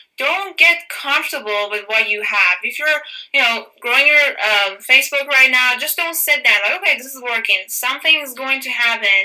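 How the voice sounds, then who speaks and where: A woman with a non-native accent projects her high-pitched voice at a moderate pace, lively in intonation. Her loudness swings widely over noticeable background noise. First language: not English. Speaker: fitness business coach. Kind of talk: training call.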